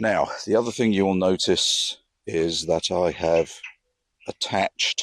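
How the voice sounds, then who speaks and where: A man with a very deep, low pitch speaks at a fairly slow pace with fairly even intonation. His loudness stays very even, and the sound is dry and close with no echo. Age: 70s. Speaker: electric unicycle hobbyist vlogger. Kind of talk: casual monologue show-and-tell. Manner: hesitant, with frequent fillers.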